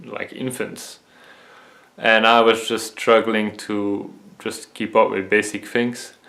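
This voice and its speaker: In a Dutch accent, a man speaks at a very slow pace. His medium-pitched voice stays monotone and flat. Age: 20s. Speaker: vision health video creator. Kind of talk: personal testimony. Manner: halting, many fillers.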